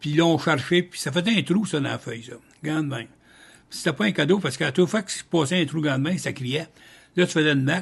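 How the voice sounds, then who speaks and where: A man with a Quebec accent talks at a fairly quick pace, his pitch fairly high and ordinarily varied. He leaves long, frequent pauses against a quiet background. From Trois-Rivières, Quebec. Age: 80s+. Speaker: retired paper mill worker. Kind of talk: interview answer. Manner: casual, colloquial storytelling.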